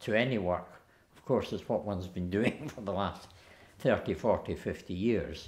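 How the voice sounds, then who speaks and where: A man in a Scottish accent, with lively intonation at a moderate pace. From Lanarkshire, Scotland. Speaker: poet. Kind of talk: interview answer. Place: home room.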